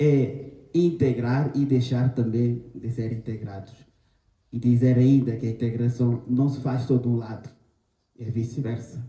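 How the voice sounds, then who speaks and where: A man with a Guinea-Bissau accent speaks at a medium pitch in monotone, flat intonation and a fairly slow pace. His tone is dark and mellow, and somewhat breathy. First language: Manjaku (speaking Portuguese). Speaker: panel guest. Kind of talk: panel talk. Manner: halting.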